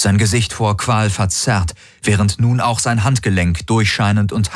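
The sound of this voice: Fairly level intonation from an unforced reading voice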